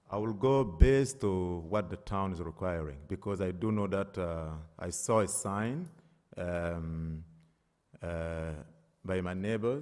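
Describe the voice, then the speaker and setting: A man with a non-native accent, a very deep, low pitch, ordinary pitch variation, and a fairly slow pace. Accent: foreign. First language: not English. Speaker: applicant. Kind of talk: public hearing testimony. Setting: town board meeting. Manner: hesitant, many fillers.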